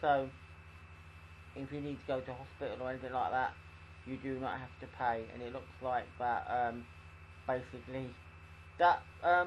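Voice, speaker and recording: A somewhat breathy man talks at a moderate pace. Light background noise is present. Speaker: vlogger. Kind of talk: casual vlog chat. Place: home room. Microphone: headset.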